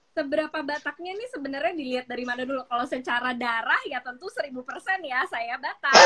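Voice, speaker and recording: A woman's raised, projected voice, high-pitched, with a strong Jakarta accent, very fast and with hardly any pauses, her pitch varying in an ordinary way. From Jakarta, Indonesia. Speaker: business founder. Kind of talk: interview.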